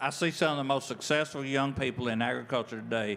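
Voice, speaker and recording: A man's medium-pitched, unremarkable speaking voice with ordinary pitch variation. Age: 60s. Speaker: farmer. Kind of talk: panel discussion.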